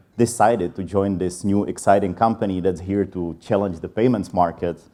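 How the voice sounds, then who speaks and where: With a Czech accent, a man speaks at a fairly low pitch with ordinary pitch variation. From Czech Republic. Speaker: sales enablement leader. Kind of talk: conference talk. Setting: stage with audience.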